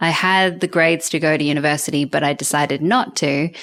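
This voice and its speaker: Very deep and low, a woman's voice carries an Australian accent at a moderate pace. The recording is very clean, with a silent background. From Australia (Canberra). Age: 40s. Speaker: film journalist and TV presenter. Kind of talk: interview conversation.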